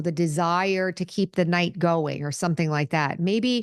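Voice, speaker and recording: At a fairly slow pace, a woman with a normal speaking voice talks at a fairly low pitch with ordinary pitch variation over a quiet background. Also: dry, close sound with no echo. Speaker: spiritual podcast host and nurse. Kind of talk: solo talk to camera. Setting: video recording on camera.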